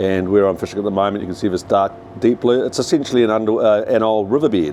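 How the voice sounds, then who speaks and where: Noticeable background noise surrounds a man with a New Zealand accent. His fairly low voice keeps a fairly even intonation. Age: 60s. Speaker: commercial fishing boat captain. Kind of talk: casual vlog walkthrough. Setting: on a fishing boat at sea. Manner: hesitant, many fillers.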